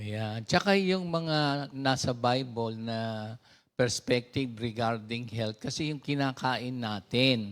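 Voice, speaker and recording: With a very clean recording and a silent background, a man speaks at a very slow pace and medium pitch with ordinary pitch variation. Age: 60s. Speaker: pastor. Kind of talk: sermon. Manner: halting.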